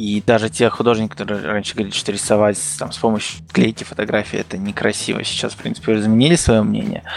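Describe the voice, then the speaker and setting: Over noticeable background noise, a man talks very fast with hardly any pauses. His pitch is fairly low, with ordinary variation. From Kazakhstan. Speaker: illustrator. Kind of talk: casual chat.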